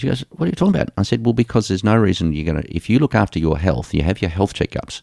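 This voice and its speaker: Speaking very fast with hardly any pauses, a man with an Australian accent has a fairly low pitch and a dark, mellow tone. His intonation is lively, and the sound is dry and close with no echo. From Australia, Geelong. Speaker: sports medicine doctor. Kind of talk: interview.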